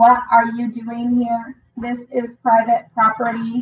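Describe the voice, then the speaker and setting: A put-on, robotic character voice, fairly slow and monotone, with flat intonation. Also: woman, fairly high pitch for a woman. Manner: emotionless.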